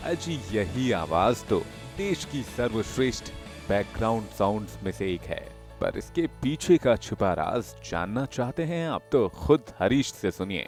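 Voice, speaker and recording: A man's medium-pitched voice with very wide pitch swings over music in the background. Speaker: voice-over artist. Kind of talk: interview answer.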